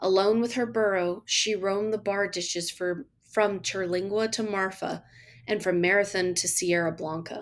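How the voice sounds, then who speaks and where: Her pitch medium and her intonation fairly even, a woman with an American accent speaks at a moderate pace. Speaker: teacher. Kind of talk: audiobook story reading.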